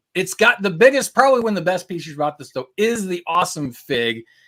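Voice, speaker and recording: An animated tone comes through with a Midwestern accent in a very clean recording with a silent background. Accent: Midwestern accent (self-noted). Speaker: LEGO fan show host. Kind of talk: casual live-stream chat.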